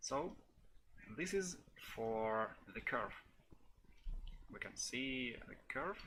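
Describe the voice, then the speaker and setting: Speaking very slowly with long, frequent pauses, a man with a non-native accent uses lively intonation and a bright, sharp tone at a medium pitch. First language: not English. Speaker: software developer. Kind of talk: tutorial. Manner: halting, many fillers.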